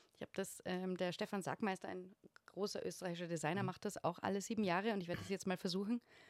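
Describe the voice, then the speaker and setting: A woman's medium-pitched, monotone, flat voice at a very fast pace, dry and close with no echo, on a very clean recording with a silent background. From Austria, Upper Austrian parents, lived in Vienna. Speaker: photographer and interior designer. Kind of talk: casual chat.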